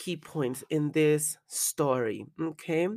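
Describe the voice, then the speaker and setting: A woman with a Spanish accent speaks in a very deep, low voice with ordinary pitch variation, on a very clean recording with a silent background. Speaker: podcaster and adult performer. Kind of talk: casual monologue; reading aloud a personal letter.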